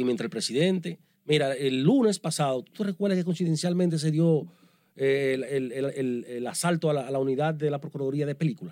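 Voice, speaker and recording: Fairly quick in pace, a man with a fairly high pitch speaks in a dark, mellow tone with ordinary pitch variation. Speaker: podcast co-host. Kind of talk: news commentary chat.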